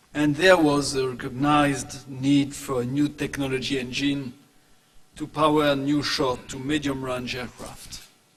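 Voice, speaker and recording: A man's fairly high, monotone, flat voice at a fairly slow pace, with audible room echo and noticeable background noise. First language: French. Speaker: aerospace industry executive. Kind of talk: conference presentation. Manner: formal.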